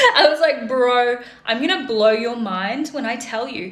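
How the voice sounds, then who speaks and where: A woman with an Australian accent talks in an animated tone at a fairly slow pace, with audible room echo and noticeable background noise. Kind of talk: casual storytelling to camera.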